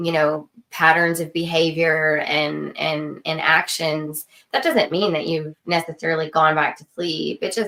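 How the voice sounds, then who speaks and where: Speaking at a fairly slow pace in an American accent, a woman has a very deep, low pitch, a bright, sharp tone and vocal fry. Her intonation stays fairly even while her loudness swings widely. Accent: Texan, sometimes noticeable. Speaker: podcast co-host. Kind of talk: casual chat.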